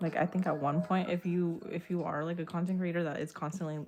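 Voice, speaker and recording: Fairly even intonation marks this fairly quick delivery. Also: woman. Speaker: streamer. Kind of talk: casual chat. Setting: livestream. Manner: halting.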